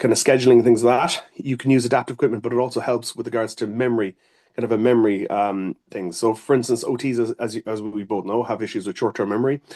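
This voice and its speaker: In an Irish accent, a man of medium pitch talks at a very fast pace with a dark, mellow tone and a dry, close sound with no echo. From Ireland. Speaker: occupational therapist. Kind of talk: interview. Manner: hesitant, many fillers.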